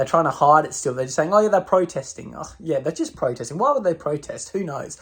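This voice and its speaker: With an Australian accent, a man speaks at a high pitch and a very fast pace, with hardly any pauses. His tone is animated and his intonation lively. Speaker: political commentator. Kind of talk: opinion rant to camera.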